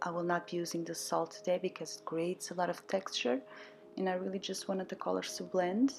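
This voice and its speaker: A woman with a non-native accent and a fairly low pitch. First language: not English. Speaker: watercolour artist. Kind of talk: painting tutorial voiceover. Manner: casual, hesitant.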